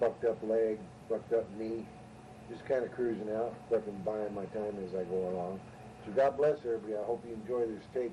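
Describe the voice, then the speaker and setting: A man with an American accent, fairly low pitch and a fairly quick pace, amid noticeable background noise. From California, Ventura. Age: 60s. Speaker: storyteller on homemade tape. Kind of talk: casual storytelling. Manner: casual, rambling with fillers.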